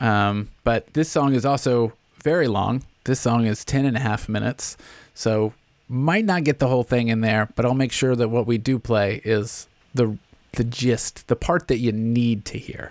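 Here is an unremarkable speaking voice, a man at medium pitch with an American accent. His pitch varies in an ordinary way, and the sound is dry and close with no echo. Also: moderate pace. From US South, Nashville. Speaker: podcast host. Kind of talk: casual interview.

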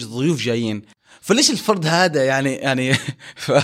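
This man has a plain, everyday voice, pitched fairly high, with ordinary pitch variation and a fairly quick pace. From Saudi Arabia, Jeddah. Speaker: former orphanage resident. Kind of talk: personal testimony in casual interview.

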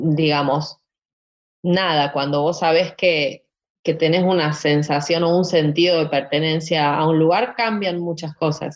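Delivery comes at a very slow pace. The intonation is fairly even. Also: woman. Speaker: singer and musician. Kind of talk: casual interview. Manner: halting, with many fillers.

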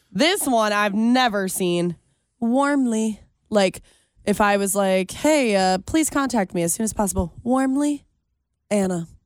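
Woman with a plain, everyday voice, medium pitch and lively intonation. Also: fairly slow pace, very clean recording, silent background. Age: 20s. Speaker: radio host. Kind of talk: casual chat. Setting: studio.

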